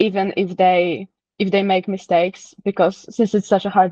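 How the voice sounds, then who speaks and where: In a Polish accent, a woman talks at a moderate pace and medium pitch. Her intonation is monotone and flat. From Poland. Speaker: interviewee. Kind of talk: casual interview. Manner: halting, with self-corrections.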